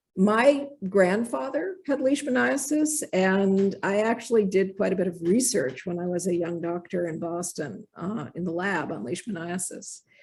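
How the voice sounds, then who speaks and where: The voice is somewhat breathy and moves at a moderate pace with hardly any pauses. Its pitch swings very wide. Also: woman, medium pitch for a woman. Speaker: infectious disease physician, professor. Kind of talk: lecture.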